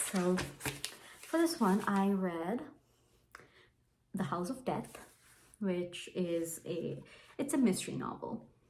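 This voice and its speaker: A woman with a Bengali accent speaks at a very slow pace with long, frequent pauses, in a medium pitch. Her voice is somewhat breathy, with audible room echo. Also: lively intonation. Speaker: book vlogger. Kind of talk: casual book review vlog. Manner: casual, with fillers and false starts.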